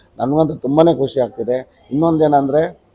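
A man's flat, monotone delivery comes through noticeable background noise. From Karnataka, Tumakuru. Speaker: parent. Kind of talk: testimonial.

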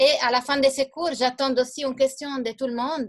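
Against a quiet background, a woman talks at a moderate pace in a high pitch with fairly even intonation. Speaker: teacher. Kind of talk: lecture. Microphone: video call.

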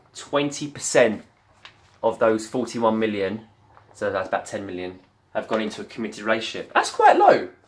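A man with a strong British accent at a moderate pace, broken by long, frequent pauses. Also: medium pitch for a man, big swings in loudness. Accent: thick British. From UK. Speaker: vlogger. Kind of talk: casual chat. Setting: at home on camera. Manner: animated. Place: home room. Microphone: webcam.

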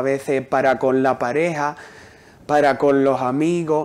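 In a normal speaking voice, a man talks with fairly even intonation. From Huelva, Andalusia, Spain; Andalusia, Spain. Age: young. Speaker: poet. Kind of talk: interview. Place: studio. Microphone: lapel.

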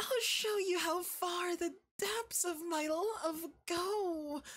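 The pace is very slow. A man's put-on character voice sits at an extremely high pitch. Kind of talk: ASMR roleplay. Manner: soft-spoken, menacing, dominant.

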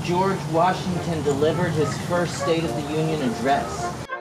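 Music plays in the background while the words come at a fairly slow pace. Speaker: vlogger. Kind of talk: casual vlog chat. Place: open country.

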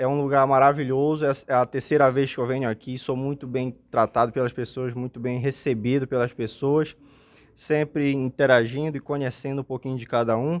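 Monotone, flat intonation from a man at a moderate pace. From Amapá, northern Brazil. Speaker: comedian and influencer. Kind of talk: casual interview chat. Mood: friendly, grateful, upbeat. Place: home room. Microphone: handheld.

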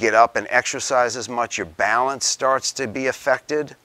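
A bright, sharp tone carries along at a moderate pace. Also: man. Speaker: presenter. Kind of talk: lecture. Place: meeting room.

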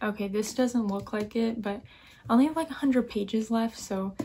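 Her voice is somewhat breathy. The woman speaks at a moderate pace. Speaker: book vlogger. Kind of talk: casual vlog chat. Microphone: phone near.

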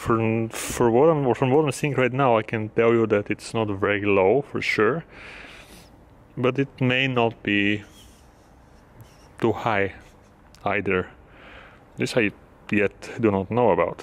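A man at a fairly slow pace, with ordinary pitch variation and long, frequent pauses. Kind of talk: casual vlog commentary. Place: station.

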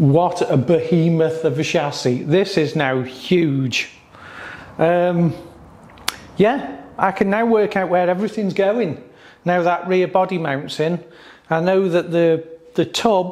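A man's high-pitched voice at a very slow pace, with long, frequent pauses, very even loudness and ordinary pitch variation. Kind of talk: casual workshop vlog explanation. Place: workshop. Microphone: camera far.

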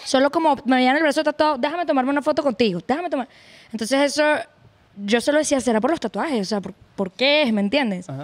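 A woman with a Venezuelan accent, high-pitched, very fast, and lively in intonation. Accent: Venezuelan, kept. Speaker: podcast guest, arepa seller. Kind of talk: casual chat. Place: studio. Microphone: studio mic.

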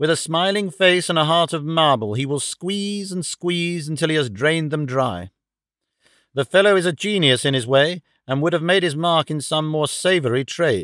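A man talks at a moderate pace, his pitch varying in an ordinary way, with a quiet background behind him. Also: dry sound with no echo. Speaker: audiobook narrator. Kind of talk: audiobook reading of a novel.

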